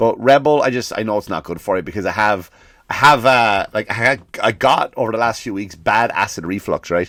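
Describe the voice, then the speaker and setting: Over a very clean recording with a silent background, a man with a non-native accent speaks at a fairly quick pace and a medium pitch, with ordinary pitch variation. His tone is animated, bright and sharp. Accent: non-American accent, listeners may judge it. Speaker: comedian. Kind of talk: comedic podcast monologue.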